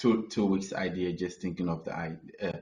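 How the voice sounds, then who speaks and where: A man with a very deep, low voice speaks at a moderate pace. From Ghana. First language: not English. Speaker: artist. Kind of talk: webinar panel discussion. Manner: halting, searching for words.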